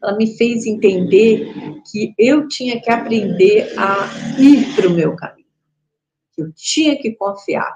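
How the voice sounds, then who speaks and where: Speaking at a very slow pace with long, frequent pauses, a woman uses a fairly high pitch, lively intonation, and big swings in loudness. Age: 60s. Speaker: spiritual teacher. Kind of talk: casual chat. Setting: live stream.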